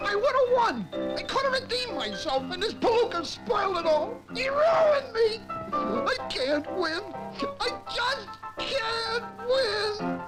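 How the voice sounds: Faint music plays behind a cartoonish character voice that moves slowly, with big pitch swings. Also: fairly bright tone.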